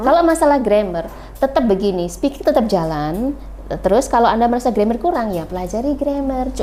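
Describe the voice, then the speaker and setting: A woman talks at a fairly quick pace with a fairly high pitch and very wide pitch swings over noticeable background noise. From Wonogiri, Indonesia. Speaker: English teacher. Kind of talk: podcast guest interview answer.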